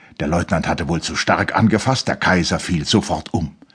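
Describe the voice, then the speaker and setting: With lively intonation and a somewhat breathy sound, this man keeps to a moderate pace. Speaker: audiobook narrator. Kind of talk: audiobook reading of a literary novel, dramatic narration. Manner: measured, formal; dramatic, expressive.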